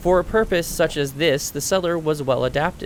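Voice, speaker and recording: A soft-spoken man talks at a fairly quick pace. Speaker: audiobook narrator. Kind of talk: reading aloud.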